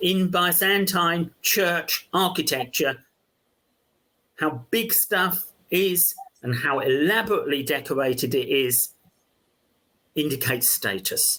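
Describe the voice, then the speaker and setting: A man in a London accent, high in pitch with lively intonation and very even loudness, fairly slow with long, frequent pauses. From London, England. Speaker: archaeology professor. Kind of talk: interview conversation. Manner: halting, many fillers.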